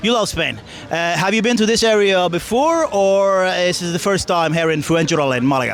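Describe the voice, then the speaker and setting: A man's high voice at a fairly quick pace, with hardly any pauses, very even loudness, ordinary pitch variation, and noticeable background noise. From Norway. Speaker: interviewer, YouTuber. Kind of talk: interview question.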